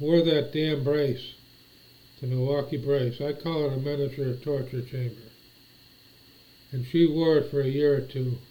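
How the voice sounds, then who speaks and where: A man's dark, mellow, somewhat breathy voice with an American accent, monotone and flat, at a moderate pace broken by long, frequent pauses. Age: 60s. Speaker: vlogger. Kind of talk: casual monologue. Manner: halting.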